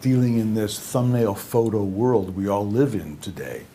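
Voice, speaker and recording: The man's voice sits at a fairly low pitch with ordinary pitch variation. He speaks at a moderate pace. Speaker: company founder and president. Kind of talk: product explanation to camera. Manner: soft-spoken, quiet.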